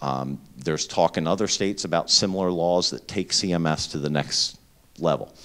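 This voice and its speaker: A man's very deep, low voice with an eastern Pennsylvania accent, ordinary pitch variation and a moderate pace. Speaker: healthcare emergency preparedness executive. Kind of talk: lecture. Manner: loud.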